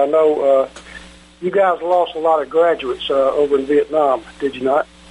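Noticeable background noise accompanies a man's fairly high voice, which moves at a moderate pace with fairly even intonation. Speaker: radio host. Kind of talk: interview.

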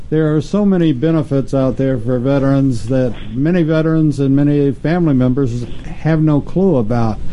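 A man with a fairly high pitch talks at a moderate pace with ordinary pitch variation and very even loudness. Noticeable background noise is present. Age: old. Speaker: radio show host. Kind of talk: casual interview chat. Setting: studio.

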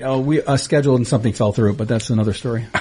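Putting on a raspy character voice, a man with a medium pitch speaks at a very fast pace over light background noise. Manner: glum, flat.

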